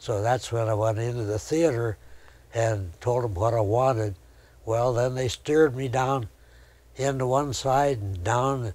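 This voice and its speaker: At a fairly slow pace, a man with an American accent speaks at medium pitch, somewhat breathy, with ordinary pitch variation. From US Midwest, Indiana (Elkhart). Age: 80s+. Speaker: storyteller. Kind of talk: interview storytelling. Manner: folksy, conversational.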